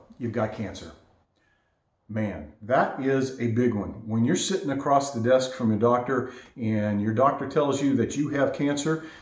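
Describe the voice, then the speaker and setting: Noticeable room echo around a man's mid-range voice with normal pitch movement. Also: moderate pace. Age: 60s. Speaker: vlogger sharing health experience. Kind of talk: casual first-person talk to camera. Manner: halting.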